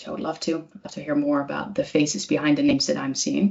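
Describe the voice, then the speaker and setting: A woman is speaking. She has a Dutch accent. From Netherlands, Amsterdam area. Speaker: communication trainer. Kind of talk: webinar presentation. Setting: online webinar. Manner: hesitant, many filler words.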